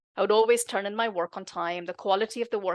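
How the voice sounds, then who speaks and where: A woman talking at a very fast pace over a quiet background. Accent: non-native. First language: not English. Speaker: tech executive and author. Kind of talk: podcast interview.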